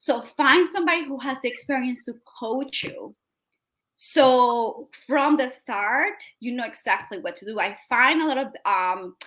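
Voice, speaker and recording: With a South American accent, a woman speaks at a fairly slow pace in a high, bright, sharp tone, her intonation lively and her loudness swinging widely. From Colombia. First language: Spanish. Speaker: digital marketing strategist. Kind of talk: interview.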